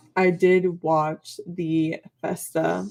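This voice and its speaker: Music plays in the background as a woman speaks. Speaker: K-pop reaction vlogger. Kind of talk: casual vlog monologue. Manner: hesitant, many fillers.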